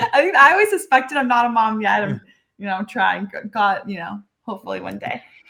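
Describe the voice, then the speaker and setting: Speaking very fast in a Southern Californian accent, a woman swings widely in loudness. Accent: Valley girl. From Los Angeles, Southern California. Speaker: cannabis brand representative. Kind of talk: podcast interview.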